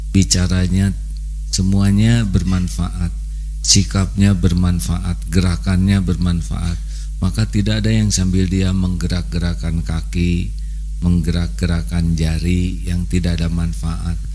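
Over light background noise, a man with a very deep, low voice talks at a fairly slow pace with very wide pitch swings. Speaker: religious preacher. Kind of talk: sermon. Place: studio. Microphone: handheld.

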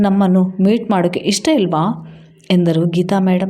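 The intonation stays fairly even throughout this natural reading voice.

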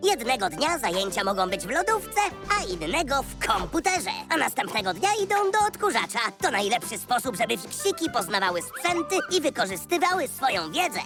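A cartoonish character voice races along at a very fast pace with fairly high pitch. Music plays clearly in the background. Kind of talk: educational children's narration.

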